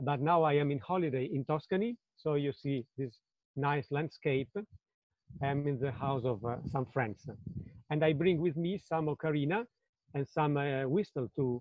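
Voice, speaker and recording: A man with an Italian accent speaks at a moderate pace with a fairly high pitch. His pitch variation is ordinary, and he leaves long, frequent pauses. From Italy, Budrio near Bologna. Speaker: ocarina player and historian. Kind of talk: lecture. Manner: halting.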